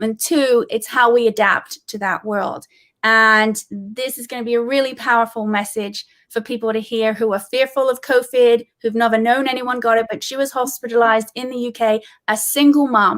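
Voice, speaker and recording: The speaker has a British accent. The pace is moderate and the intonation fairly even. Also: woman, fairly high pitch for a woman. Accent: British accent, remarked on by host. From England. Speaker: comedian and meditation teacher. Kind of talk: casual chat.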